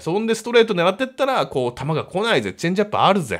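A man speaks in an animated tone with vocal fry. The background is quiet. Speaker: comedian and baseball fan YouTuber; comedian, baseball fan YouTuber. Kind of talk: solo commentary on baseball draft. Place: home room.

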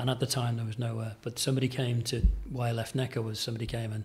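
A man speaks at a very fast pace and medium pitch. His intonation is monotone and flat, and the voice is somewhat breathy. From Merseyside, England. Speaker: executive chef. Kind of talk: casual interview chat. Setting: in person at a country hotel. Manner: hesitant, many fillers.

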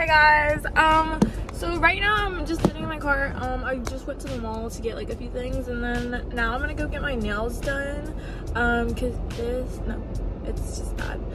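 There is music in the background as the speaker talks at a moderate pace. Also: woman. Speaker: vlogger. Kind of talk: casual vlog chat. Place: car. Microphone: phone near.

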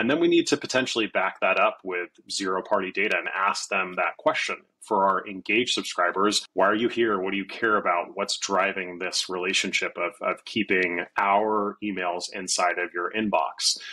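This man speaks with a low pitch and a bright, sharp tone, leaving few pauses. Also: ordinary pitch variation, moderate pace.

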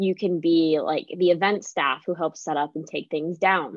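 An unremarkable speaking voice with an American accent moves at a moderate pace with fairly even intonation, in a dry sound with no echo and a quiet background. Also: woman. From Pennsylvania. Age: 20s. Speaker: college student ambassador; student host of admissions Q&A. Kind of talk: live Q&A chat. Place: home room. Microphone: video call.

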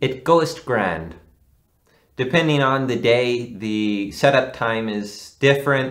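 The speech moves at a very slow pace with ordinary pitch variation over a quiet background. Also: man. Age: 20s. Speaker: amateur film actor and writer; amateur film actor. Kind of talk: casual interview.

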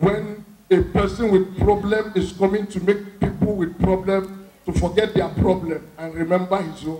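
Audible room echo surrounds a voice with monotone, flat intonation. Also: man, high pitch for a man. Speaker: stand-up comedian. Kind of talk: stand-up comedy routine. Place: stage. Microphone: handheld.

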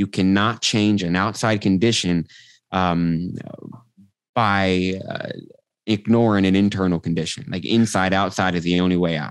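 Very deep and low in pitch, a man speaks with an American accent at a moderate pace. The sound is dry with no echo, and the background is quiet. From Texas, Austin; Texas. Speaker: transformational coach; podcast guest, coach. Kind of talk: casual interview chat; guided meditation, coach walking listener through eye-flutter theta induction. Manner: energetic. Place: home room. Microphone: video call.

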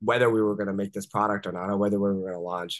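Against a quiet background, a man with an American accent talks at a fairly low pitch with fairly even intonation. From US, Washington D.C. area. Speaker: entrepreneur; podcast guest. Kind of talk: interview. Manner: casual, many fillers. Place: home room. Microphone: video call.

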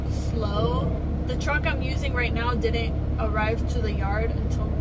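Loud background noise nearly competes with a woman speaking at a moderate pace. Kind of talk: casual vlog chat. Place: car. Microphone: phone near.

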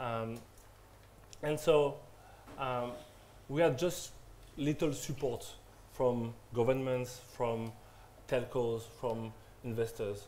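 A man speaks very slowly in a dark, mellow tone with fairly even intonation and long, frequent pauses. Light background noise sits behind him. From France. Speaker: media entrepreneur; panelist. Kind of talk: panel discussion. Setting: stage with audience. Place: classroom. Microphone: camera far.

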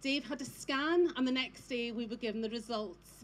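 Here a woman speaks with a high pitch. Her pace is moderate. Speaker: speaker. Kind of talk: personal testimony speech. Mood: emotional, recounting husband's illness. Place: stage. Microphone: handheld.

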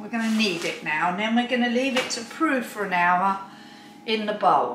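A woman's voice carries audible room echo over light background noise. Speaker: home cook. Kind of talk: casual cooking video talk to camera. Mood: chatty, mildly puzzled. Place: kitchen. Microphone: camera far.

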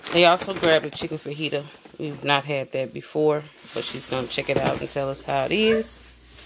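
With vocal fry, a woman talks at a moderate pace in a low pitch. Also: ordinary pitch variation.

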